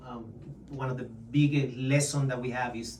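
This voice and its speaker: Amid noticeable background noise and audible room echo, a man talks at a moderate pace. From Chile. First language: Spanish. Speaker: real estate agent. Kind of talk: interview.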